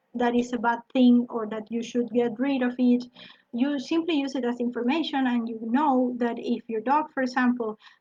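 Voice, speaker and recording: A woman speaks with a high pitch and a dark, mellow tone. Her pace is moderate. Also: fairly even intonation. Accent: non-native. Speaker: dog trainer. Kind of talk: lecture. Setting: live online broadcast. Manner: halting.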